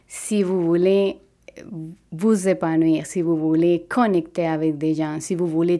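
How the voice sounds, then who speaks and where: A dark, mellow tone in a Spanish accent, at a very slow pace with fairly even intonation, on a very clean recording with a silent background. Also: woman. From Venezuela. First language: Spanish (speaking French). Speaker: physiotherapist. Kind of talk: personal testimony.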